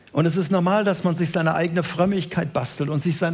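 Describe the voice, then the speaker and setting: With ordinary pitch variation, this man talks in a voice that is high for a man. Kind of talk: sermon. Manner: didactic, earnest, building to rhetorical questions and emphatic repetition; explanatory, measured pace, direct address to the congregation.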